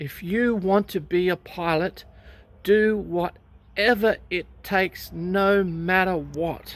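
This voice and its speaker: A woman speaks very slowly with an Australian accent. Her intonation stays fairly even. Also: medium pitch for a woman, very clean recording, silent background. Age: 60s. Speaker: recreational pilot, vlogger. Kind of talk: personal storytelling vlog. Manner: conversational with hesitations.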